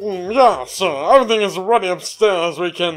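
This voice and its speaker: Someone uses a put-on character voice at a middle pitch and a moderate pace, with faint music in the background. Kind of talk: prim, refined. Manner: snooty.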